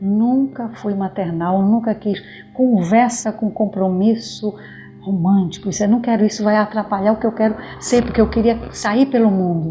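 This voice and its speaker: Over music in the background, a woman with a fairly high pitch speaks at a moderate pace with fairly even intonation. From Brazil, Pará (born in Maranhão). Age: 60s. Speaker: activist in women's housing movement, school worker. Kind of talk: documentary interview.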